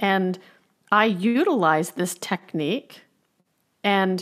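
A woman's medium-pitched, unremarkable speaking voice with ordinary pitch variation on a very clean recording with a silent background. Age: 40s. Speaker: recovery coach and author. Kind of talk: casual chat.

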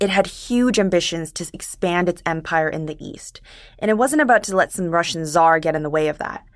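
A woman with a normal speaking voice talks at a moderate pace in a fairly low pitch with ordinary pitch variation. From Korean diaspora, first-generation immigrant to Canada. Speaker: podcast producer. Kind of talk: conversational history explainer.

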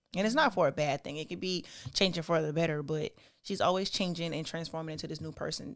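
With an American accent and a plain, everyday voice, a woman talks at a moderate pace and a fairly low pitch. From South Carolina, US South. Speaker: STEM student. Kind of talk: casual chat.

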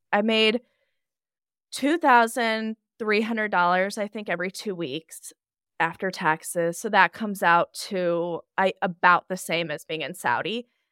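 Loud and bright, sharp in tone, a woman speaks at medium pitch and a fairly slow pace with ordinary pitch variation. The sound is dry and close with no echo, on a very clean recording with a silent background. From Nebraska. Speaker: NICU nurse and travel blogger. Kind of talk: casual podcast interview.

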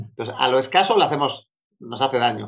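A man's medium-pitched voice. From Spain, Bilbao (Basque Country). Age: 40s. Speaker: productivity coach. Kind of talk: interview.

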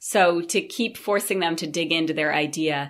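A woman speaks in an unremarkable speaking voice, fairly low in pitch, with an American accent. Her pitch varies in an ordinary way. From Maine, US. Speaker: small business advisor. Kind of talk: interview.

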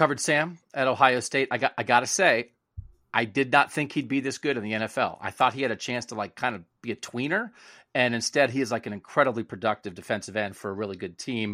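Dry and close with no echo, a man's bright, sharp voice at medium pitch races at a very fast pace in a very clean recording with a silent background. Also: ordinary pitch variation. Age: 20s. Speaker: sports podcast host. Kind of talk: casual chat. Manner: animated.

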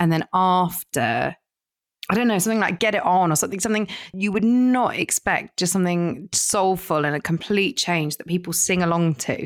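A woman speaks in a southern English accent with an animated tone at a fairly quick pace. The recording is very clean with a silent background and a dry, close sound with no echo. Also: medium pitch for a woman, ordinary pitch variation. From southern England. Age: 30s. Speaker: DJ and broadcaster. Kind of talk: casual chat.

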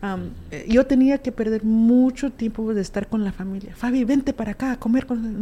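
At a moderate pace with hardly any pauses, a woman with a fairly high pitch and a dark, mellow tone sounds somewhat breathy, her intonation fairly even. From US, Alamosa, Colorado; Guatemalan family. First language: raised trilingual: Spanish, Q'anjob'al, English (speaking Spanish). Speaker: musician and community advocate. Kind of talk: interview, casual chat.

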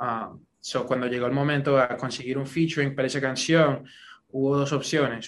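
This man's medium-pitched voice has a monotone, flat intonation. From US, New York. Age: 20s. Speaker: singer. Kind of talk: interview. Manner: code-switching Spanish and English.

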